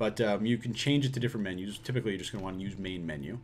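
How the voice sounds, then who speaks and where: Ordinary pitch variation marks a man speaking at a very fast pace. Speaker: online business course creator. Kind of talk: tutorial. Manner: casual, filler-heavy.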